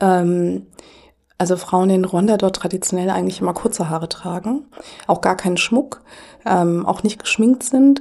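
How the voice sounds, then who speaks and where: A woman with a plain, everyday voice, medium pitch, ordinary pitch variation and a fairly slow pace. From Germany. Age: 40s. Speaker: anti-racism activist. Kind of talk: podcast interview.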